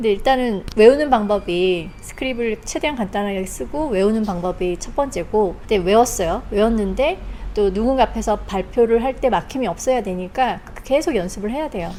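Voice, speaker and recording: An ordinary speaking voice: a woman with a fairly high pitch, lively intonation and a moderate pace. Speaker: museum docent. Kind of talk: casual chat.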